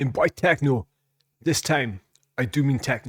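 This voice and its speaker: A man speaks at a very slow pace with a fairly high pitch. His voice is somewhat breathy, with a dry, close sound and no echo. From Scotland. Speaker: music reaction youtuber. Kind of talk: casual chat. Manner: halting.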